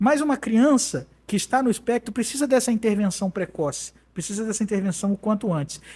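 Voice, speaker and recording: With lively intonation, a man with a high pitch talks at a fairly quick pace. The recording is very clean, with a silent background. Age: 30s. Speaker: judge. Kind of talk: interview. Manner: hesitant, many fillers.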